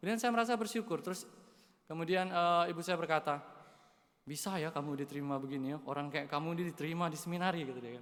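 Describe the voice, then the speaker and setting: Talking very fast with a Kalimantan accent, a man uses a high pitch and ordinary pitch variation. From Indonesia, West Kalimantan (Dayak). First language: Dayak (speaking Indonesian). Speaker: seminarian. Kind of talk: homily. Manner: casual, with hesitations.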